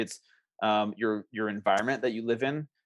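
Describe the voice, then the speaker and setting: A man's normal speaking voice at medium pitch, moderate in pace with fairly even intonation, over a quiet background. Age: 40s. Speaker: health and wellness coach. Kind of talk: interview.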